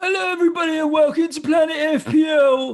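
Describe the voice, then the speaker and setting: Putting on a character voice, a man speaks at an extremely high pitch. His husky delivery moves at a very fast pace. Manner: sympathetic.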